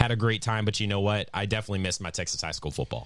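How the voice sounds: A man with fairly low pitch and fairly even intonation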